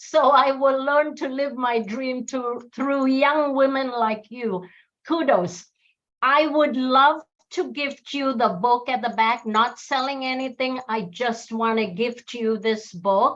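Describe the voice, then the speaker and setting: A woman with a high pitch speaks at a very slow pace. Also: ordinary pitch variation. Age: 60s. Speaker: audience participant, author. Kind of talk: casual chat. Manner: animated.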